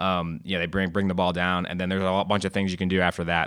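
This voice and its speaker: A very deep, low-pitched man's voice with an American accent, bright and sharp in tone, monotone and flat in intonation, in a very clean recording with a silent background. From Maryland, US. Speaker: rugby coach. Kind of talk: interview. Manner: halting, many fillers.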